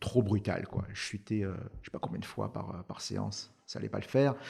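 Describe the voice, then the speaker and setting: A man with a fairly low voice speaks at a moderate pace. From France. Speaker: startup founder. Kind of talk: podcast interview. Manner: hesitant, many fillers.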